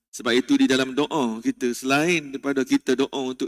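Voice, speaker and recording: At a fairly quick pace, a man with a fairly high pitch and fairly even intonation talks in an ordinary speaking voice, the sound dry and close with no echo. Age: 40s. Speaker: religious teacher. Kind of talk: mosque religious lecture. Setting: mosque.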